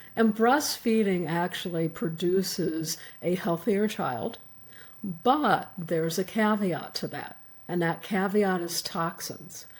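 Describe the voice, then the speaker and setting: Speaking very slowly, a woman uses a medium pitch with ordinary pitch variation. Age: 70s. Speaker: physician and author. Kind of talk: interview.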